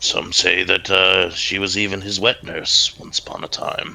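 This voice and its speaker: A put-on character voice from a man, raspy and fairly low-pitched, at a moderate pace. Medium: actual play. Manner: friendly, conversational.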